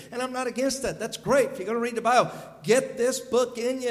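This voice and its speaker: A Southern US accent with fairly even intonation, amid audible room echo and noticeable background noise. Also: man. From US South. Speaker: visiting evangelist preacher. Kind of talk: sermon. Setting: church service.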